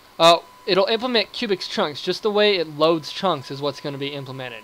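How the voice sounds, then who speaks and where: Against noticeable background noise, a man talks in a high pitch with lively intonation. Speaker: gaming video creator. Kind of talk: gameplay commentary. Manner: fast; animated.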